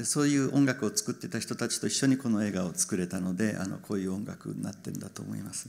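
This man talks at a very fast pace with hardly any pauses, lively intonation and vocal fry. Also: fairly low pitch for a man. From Japan. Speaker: film director; guest. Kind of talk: Q&A with interpreter. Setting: stage with audience. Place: stage. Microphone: handheld.

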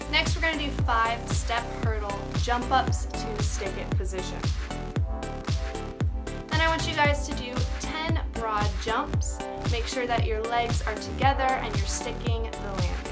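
A woman speaks at a fairly slow pace, leaving long, frequent pauses, over loud music in the background. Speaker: gymnastics coach. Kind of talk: tutorial. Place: home room. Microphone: phone near.

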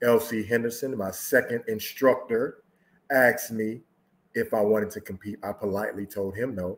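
A man talks at a medium pitch and a moderate pace. His intonation is fairly even. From US Midwest. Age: 50s. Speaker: social dancer and Navy veteran; guest dance instructor. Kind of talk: interview answer. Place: home room.

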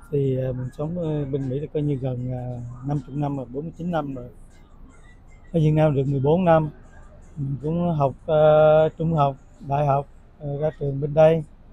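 A man with a fairly high, somewhat breathy voice speaks at a fairly slow pace in a flat monotone. Long pauses come often, and the sound is dry with no echo. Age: 60s. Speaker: retiring engineer; interviewee. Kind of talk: interview. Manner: halting. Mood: calm, reflective. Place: cafe. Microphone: lapel.

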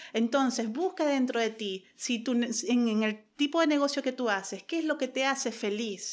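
A woman speaks in a high pitch. Her pace is moderate, with ordinary pitch variation. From Venezuela. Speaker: social media marketing consultant; podcast guest. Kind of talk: interview. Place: office. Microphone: studio mic.

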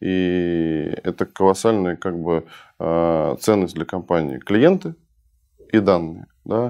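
A man speaks at a very slow pace with long, frequent pauses. His pitch is very deep and low, and his tone is dark and mellow. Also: ordinary pitch variation, quiet background. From Russia (early childhood in Budapest). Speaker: entrepreneur and investor; guest. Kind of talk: interview conversation. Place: studio. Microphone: lapel.

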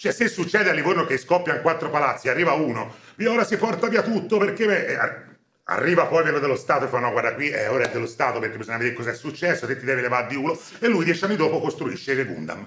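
Speech races along at a very fast clip with very wide pitch swings, some room echo audible over light background noise. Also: man, fairly high pitch for a man. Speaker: film commentator. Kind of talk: casual chat. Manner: animated. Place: home room.

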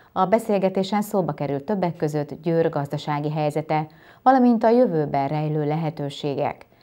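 Against a quiet background, a woman with a very deep, low pitch and a dark, mellow tone speaks at a moderate pace. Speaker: news anchor. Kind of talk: news reading. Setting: studio. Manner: formal. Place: studio.

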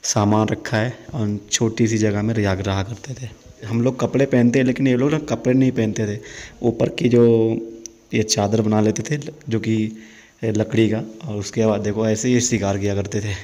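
At a moderate pace, a man talks with fairly even intonation. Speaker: travel vlogger. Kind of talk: casual vlog tour narration. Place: hall. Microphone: phone near.

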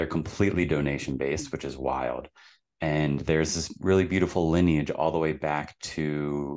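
A man's very deep, low voice with fairly even intonation against a quiet background. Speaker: podcast guest. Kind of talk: interview answer. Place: home room. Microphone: studio mic.

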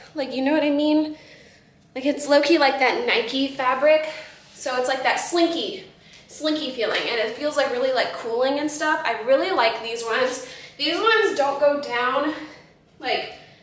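With audible room echo, a woman speaks at a moderate pace with a high pitch and ordinary pitch variation. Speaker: fashion try-on vlogger. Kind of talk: casual vlog chat. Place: home room.

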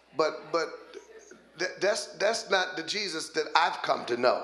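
Audible room echo and light background noise fill the recording. A man talks at a fairly quick pace. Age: 50s. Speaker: pastor. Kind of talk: sermon. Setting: church. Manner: animated. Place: church. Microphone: handheld.

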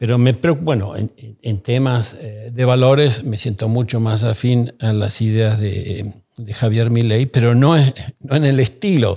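In a dark, mellow, somewhat breathy tone, a man speaks at a fairly slow pace. His pitch varies in an ordinary way against a quiet background. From Argentina. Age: 60s. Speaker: economist and think tank founder; podcast guest. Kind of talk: interview. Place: studio. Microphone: studio mic.

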